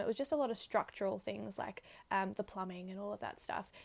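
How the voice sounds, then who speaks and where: Here a woman talks in an Australian accent. Nothing can be heard behind her, as the recording is very clean. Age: 20s. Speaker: podcast host. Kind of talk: casual monologue. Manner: animated.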